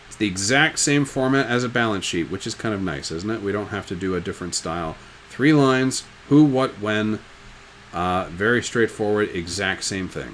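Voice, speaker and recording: Lively intonation marks this man's fairly low-pitched voice. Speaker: high school business teacher. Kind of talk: recorded lecture. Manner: fast; casual, joking.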